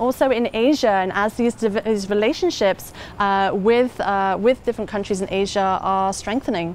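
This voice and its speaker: In an English accent, a woman speaks at a moderate pace with fairly high pitch and fairly even intonation. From England. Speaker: head of an educational organization. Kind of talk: interview. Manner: hesitant, many fillers.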